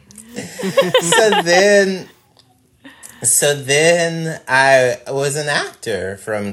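His pitch swings very widely as the man speaks. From Mississippi. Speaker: comedian. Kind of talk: casual chat.

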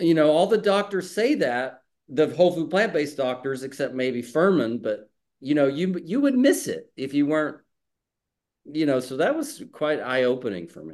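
A man with an American accent and a plain, everyday voice speaks at a moderate pace in a fairly high pitch, with lively intonation and big swings in loudness. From Texas. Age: 50s. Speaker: comedian. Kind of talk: casual chat.

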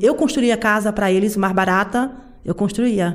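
With an unremarkable speaking voice, a woman speaks at a moderate pace and medium pitch, keeping her intonation fairly even. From rural Brazilian interior. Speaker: working-class city resident. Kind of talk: interview.

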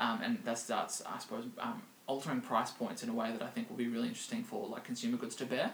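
A man with an Australian accent talks very fast with hardly any pauses, amid noticeable background noise. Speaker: podcast host, digital marketing strategist. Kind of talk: casual chat. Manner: halting, many fillers.

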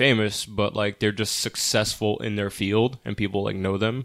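Using a normal speaking voice, a man speaks at a moderate pace and a fairly low pitch. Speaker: film podcast co-host. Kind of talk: casual chat.

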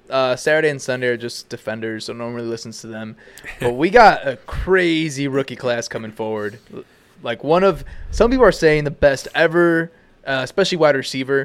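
A man with an ordinary speaking voice talks at a fairly high pitch and a fairly quick pace. His intonation is lively, with big swings in loudness. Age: 20s. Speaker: podcast co-host. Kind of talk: casual chat. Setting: home kitchen studio.

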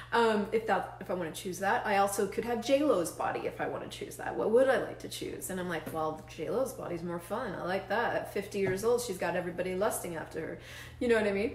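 A woman at a very fast pace with hardly any pauses, amid noticeable background noise. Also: medium pitch for a woman, ordinary pitch variation. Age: 40s. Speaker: facilitator and show host. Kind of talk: solo livestream talk. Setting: live video stream with chat viewers. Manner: animated.

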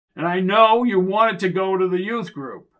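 A man puts on a character voice at a high pitch, speaking at a moderate pace. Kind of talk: pulpit oratory.

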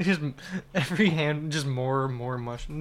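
A man's plain, everyday voice, fairly high in pitch, with ordinary pitch variation and a fairly quick pace. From Kelowna, Canada. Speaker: comedian, podcast co-host. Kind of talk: casual chat.

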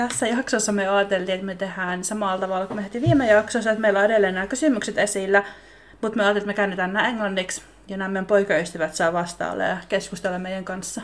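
Very fast delivery with fairly even intonation against noticeable background noise. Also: woman, medium pitch for a woman. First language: Finnish. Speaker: podcast host. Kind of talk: casual chat.

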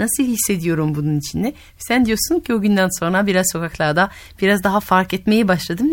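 With a French accent, a woman speaks at a fairly quick pace, her pitch medium and her intonation lively. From France. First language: French (speaking Turkish). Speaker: radio host and storyteller. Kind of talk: casual interview with children; storytelling.

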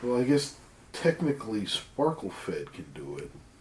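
A man speaks with very wide pitch swings. There is noticeable background noise. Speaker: tabletop roleplaying player. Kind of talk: tabletop roleplaying game session, casual banter.

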